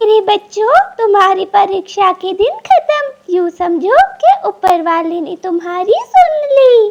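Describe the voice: In a cartoonish character voice, a woman speaks at an extremely high pitch with lively intonation and a fairly slow pace.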